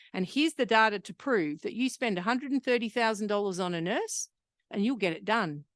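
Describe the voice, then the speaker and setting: A loud, animated woman's voice, fairly high in pitch with very wide pitch swings, at a fairly quick pace, in a dry, close sound with no echo over a quiet background. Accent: Australian. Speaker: hepatitis C program manager and researcher. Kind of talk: conference presentation.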